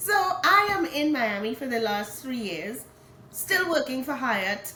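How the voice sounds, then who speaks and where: Speaking in a raised, projected voice with an animated tone, a high-pitched woman with a Trinidadian accent talks at a fairly slow pace with very wide pitch swings, amid noticeable background noise and audible room echo. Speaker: hotel HR director and author. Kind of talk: interview.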